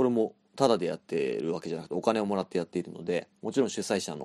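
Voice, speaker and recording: A man with a fairly low pitch talks at a very fast pace with lively intonation, in a dry, close sound with no echo over a quiet background. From Japan, Chiba. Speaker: podcast host and band vocalist. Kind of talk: solo monologue.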